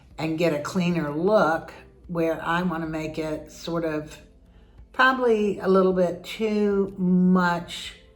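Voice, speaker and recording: A woman talks at a very slow pace, and noticeable background noise can be heard. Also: fairly low pitch for a woman, ordinary pitch variation. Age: 70s. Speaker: home decorator and real estate agent. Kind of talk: casual talk to camera.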